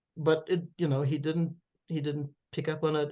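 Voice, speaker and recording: The speaker talks at a moderate pace in a German accent. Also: woman. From Germany, then Canada and New York City. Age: 70s. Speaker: author. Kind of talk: interview, personal storytelling. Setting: podcast interview. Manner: occasional stammering repetitions.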